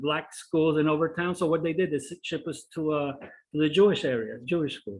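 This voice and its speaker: A man speaks with a Spanish accent at a fairly high pitch. His intonation is fairly even and his pace fairly quick. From Cuba, raised in Miami Beach. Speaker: presenter on history. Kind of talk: presentation with Q&A. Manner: hesitant, many fillers.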